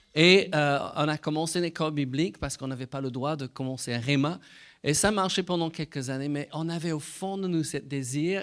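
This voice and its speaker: Moderately paced speech with a slight British accent and ordinary pitch variation, in a very clean recording with a silent background. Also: man. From Britain. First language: English (speaking French). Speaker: Bible school director and preacher. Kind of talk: sermon. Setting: church. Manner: halting.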